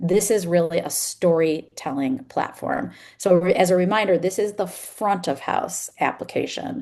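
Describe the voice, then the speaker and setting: Speaking at a moderate pace with hardly any pauses, a woman has an ordinary speaking voice at a medium pitch and ordinary pitch variation. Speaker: company executive presenting product. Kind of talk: product demo webinar.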